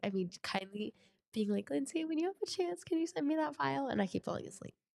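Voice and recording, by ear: Fast and nasal, this voice has vocal fry, a slightly mellow tone and lively intonation. The sound is dry and close with no echo. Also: woman, high pitch for a woman.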